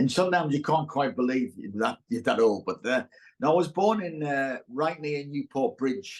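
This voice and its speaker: With a Teesside accent, a man speaks at a moderate pace. His pitch is fairly high and his intonation lively. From northern England, Middlesbrough, Teesside. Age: 60s. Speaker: actor. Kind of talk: casual chat. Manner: halting.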